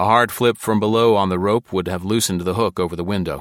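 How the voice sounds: The clip carries a natural reading voice.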